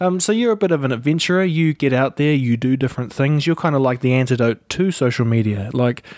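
With a New Zealand accent, a man talks at a fairly quick pace. The recording is very clean, with a silent background and a dry, close sound with no echo. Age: 30s. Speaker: podcast host and video creator. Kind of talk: casual interview. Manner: animated.

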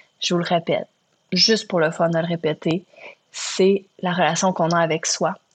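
A woman with a Quebec accent speaks at fairly low pitch and a moderate pace, in monotone, flat intonation. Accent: Québécois French. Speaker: podcast host. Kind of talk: solo reflective monologue. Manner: hesitant with fillers.

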